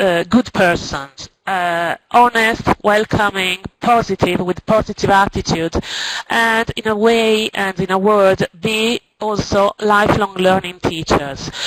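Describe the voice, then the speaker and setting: A woman with a non-native accent speaks very slowly with fairly even intonation, the sound dry and close with no echo. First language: Italian or Spanish. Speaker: teacher. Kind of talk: presentation. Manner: halting.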